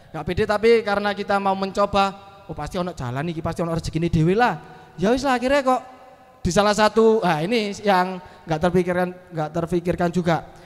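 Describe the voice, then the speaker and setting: This man talks at a very fast pace with a high pitch, ordinary pitch variation and an animated tone. Noticeable background noise runs underneath. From East Java, Malang. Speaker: comedian and MC. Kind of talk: casual chat.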